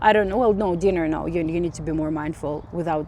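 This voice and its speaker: A woman with a non-native accent speaks in a dark, mellow tone at a fairly low pitch, with ordinary pitch variation. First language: not English. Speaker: spiritual vlogger. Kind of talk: casual monologue vlog. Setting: outdoors on a walk. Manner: halting, many fillers and restarts.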